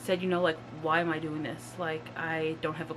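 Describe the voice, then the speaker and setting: A woman with a fairly low pitch, at a moderate pace, in an ordinary speaking voice. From Nova Scotia, Canada. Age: 30s. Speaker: YouTuber. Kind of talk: casual vlog talk. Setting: at home in a mobile home.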